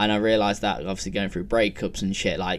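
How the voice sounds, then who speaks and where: This man's fairly low voice rushes along at a very fast pace. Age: 20s. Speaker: podcaster. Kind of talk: casual solo monologue. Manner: rambling, filler-heavy.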